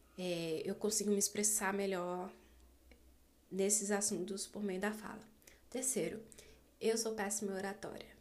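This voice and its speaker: In a medium pitch, a woman talks at a fairly slow pace with monotone, flat intonation and long, frequent pauses. Audible room echo surrounds her voice. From Brazil, Distrito Federal. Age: 20s. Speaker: podcaster, literature student. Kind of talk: casual monologue. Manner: halting.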